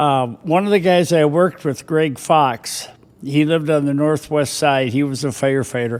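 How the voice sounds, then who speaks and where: With an Upper Midwest accent, a man speaks at a fairly high pitch and a moderate pace, keeping very even loudness and ordinary pitch variation. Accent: Upper Midwest American. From southern Minnesota (Austin). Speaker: retired firefighter and former mayor. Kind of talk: casual interview. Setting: studio. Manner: halting.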